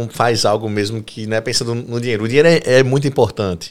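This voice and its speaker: Ordinary pitch variation marks a man's very fast delivery. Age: 30s. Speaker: podcast host and physical education teacher. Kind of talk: casual chat.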